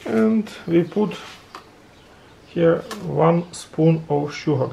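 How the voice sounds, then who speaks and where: Over light background noise, the speaker talks at a very slow pace with a non-native accent. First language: non-native English speaker. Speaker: home coffee demonstrator. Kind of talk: casual how-to demonstration. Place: kitchen. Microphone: phone near.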